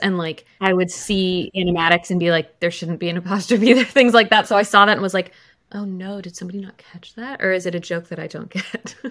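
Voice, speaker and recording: Against a quiet background, a woman talks at a fairly quick pace. Her intonation stays fairly even. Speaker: podcast guest. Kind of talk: casual podcast chat. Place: home room.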